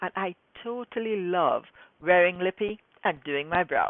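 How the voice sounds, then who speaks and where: A woman with a fairly low pitch and ordinary pitch variation speaks in a normal speaking voice. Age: 60s. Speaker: skincare specialist and scientist. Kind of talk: direct-to-camera talk to viewers.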